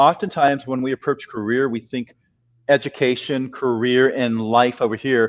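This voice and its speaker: A man with a San Francisco accent speaks with fairly even intonation in a dry, close sound with no echo. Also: medium pitch for a man, moderate pace. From US West Coast, San Francisco. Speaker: career and life coach. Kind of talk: podcast interview chat.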